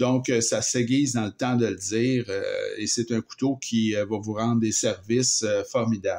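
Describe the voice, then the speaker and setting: A man with a Quebec accent, medium in pitch, at a fairly slow pace. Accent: Québécois French. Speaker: knife reviewer. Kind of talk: product review. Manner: hesitant, many fillers; casual. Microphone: improved sound with new filming setup.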